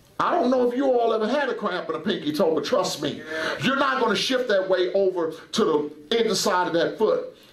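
An animated man's voice, high-pitched, fairly quick and with lively intonation, at very even loudness, with audible room echo and light background noise. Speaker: preacher. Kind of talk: sermon. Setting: church. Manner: animated, fervent preaching. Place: church. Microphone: headset.

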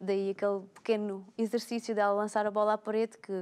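The intonation is monotone and flat. This woman keeps up a fairly quick pace. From Alentejo, Portugal. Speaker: personal trainer. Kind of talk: casual talk show chat. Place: studio.

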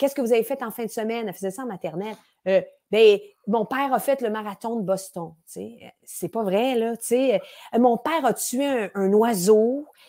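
Over a quiet background, a woman talks at a moderate pace with ordinary pitch variation and long, frequent pauses. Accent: Quebec. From Quebec. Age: 40s. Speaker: improv actress. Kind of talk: casual interview chat. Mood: lively, laughing, animated. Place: home room. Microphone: earbuds.

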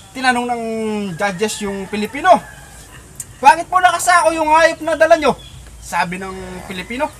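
Light noise hums behind speech delivered at a moderate pace. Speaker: storyteller. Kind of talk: casual storytelling, telling a joke. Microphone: camera far.

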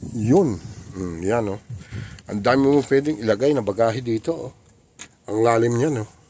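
Pausing long and often, a man speaks at a moderate pace with ordinary pitch variation in a dry recording with no echo and light background noise. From Philippines. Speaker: car rental vlogger showing vehicles. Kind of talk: street seller pitchman. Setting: in a car, walkaround video. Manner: upbeat, promotional, animated; halting, repeats filler words. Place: car. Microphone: phone near.

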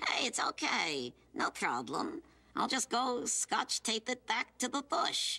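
A female-sounding cartoonish character voice speaks high and at a fairly slow pace. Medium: puppet show. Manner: brash, wisecracking.

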